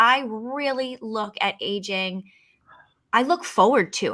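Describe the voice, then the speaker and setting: This woman speaks with a fairly high pitch, a bright, sharp tone and ordinary pitch variation. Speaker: podcast host and fitness founder. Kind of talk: podcast interview.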